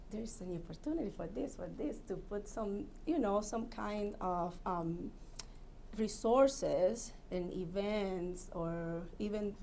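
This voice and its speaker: Speaking very slowly in a non-native accent, a woman has a dark, mellow tone, with audible room echo around her. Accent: foreign. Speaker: commission applicant. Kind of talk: job interview. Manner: halting.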